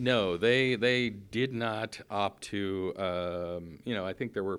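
An unremarkable speaking voice, a man's at fairly low pitch with ordinary pitch variation, on a very clean recording with a silent background. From Newfoundland, Canada. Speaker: sailing school owner. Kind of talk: interview.

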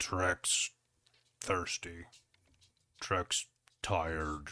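In a put-on character voice, a man speaks with very deep, low pitch and monotone, flat intonation on a very clean recording with a silent background. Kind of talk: third-person caveman-style speech. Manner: dumb, primitive, whiny.

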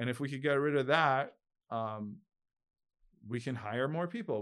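In an unremarkable speaking voice with ordinary pitch variation, a man talks on a very clean recording with a silent background. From New York, Long Island. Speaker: entrepreneur and real estate investor. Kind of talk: interview. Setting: studio.

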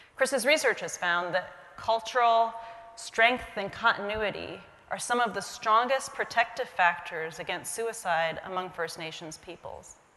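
In an ordinary speaking voice, a woman with an American accent and fairly high pitch speaks at a fairly slow pace with lively intonation and big swings in loudness. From US, Indian American family. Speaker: physician. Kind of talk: keynote talk. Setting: stage with audience.

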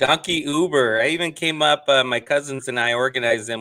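Speaking in a normal speaking voice with an American accent, a man talks at a fairly quick pace with ordinary pitch variation. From San Diego border region, US. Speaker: brewery founder, entrepreneur. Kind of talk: interview.

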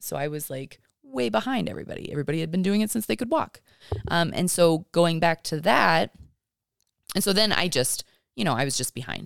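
With vocal fry and a fairly low pitch, a woman talks at a fairly quick pace, with very wide pitch swings and long, frequent pauses, in a dry, close sound with no echo. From Kentucky. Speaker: mother. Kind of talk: casual chat.

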